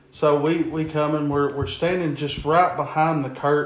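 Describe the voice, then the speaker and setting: A man speaks at a fairly slow pace with a fairly high pitch and fairly even intonation. Noticeable background noise can be heard. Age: 30s. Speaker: professional wrestler. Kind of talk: casual chat. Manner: repeats and stammers words.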